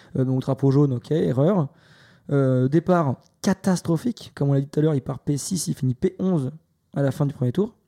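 At a moderate pace, the voice has a dark, mellow tone and ordinary pitch variation, recorded very cleanly with a silent background and a dry, close sound with no echo. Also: man, fairly high pitch for a man. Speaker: F1 podcast co-host. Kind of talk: casual chat.

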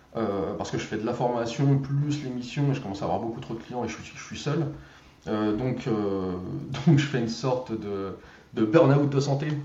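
A man speaks at a fairly slow pace in a medium pitch with ordinary variation. Noticeable background noise and audible room echo surround his voice. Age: 30s. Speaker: growth hacker and trainer. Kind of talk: casual interview.

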